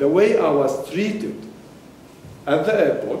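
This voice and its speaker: Against noticeable background noise and audible room echo, a man talks at a very slow pace with lively intonation. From Palestine. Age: 70s. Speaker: audience member. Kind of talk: audience Q&A statement. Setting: university panel event with audience.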